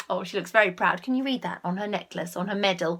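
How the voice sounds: At a fast pace, a woman speaks at a medium pitch with ordinary pitch variation and a fairly bright tone.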